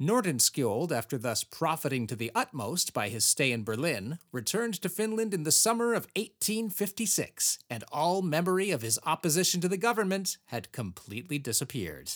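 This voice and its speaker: A man with a fairly high pitch and vocal fry talks at a fairly quick pace, his pitch swinging very widely. The recording is very clean with a silent background and a dry, close sound with no echo. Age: 40s. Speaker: history podcast host. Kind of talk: reading aloud with casual comedic commentary.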